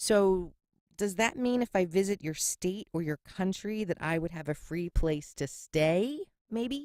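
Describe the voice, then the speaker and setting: A woman with a Philadelphia accent speaks at a fairly slow pace and medium pitch with lively intonation and a dry, close sound with no echo. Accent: Philly. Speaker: podcast host. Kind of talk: casual podcast monologue. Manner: sassy, sarcastic.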